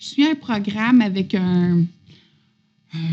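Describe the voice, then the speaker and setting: With a Quebec accent, the voice is somewhat breathy and dark and mellow in tone. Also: woman. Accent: Québécois French. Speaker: podcast guest sharing spiritual journey. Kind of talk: casual chat.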